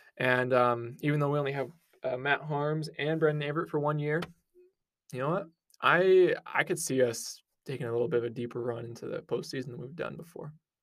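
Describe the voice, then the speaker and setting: A man with a Utah accent speaks in a fairly high voice. His pace is fairly quick, and his pitch varies an ordinary amount. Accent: American, Utah. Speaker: sports podcast co-host, student. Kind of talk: casual sports chat.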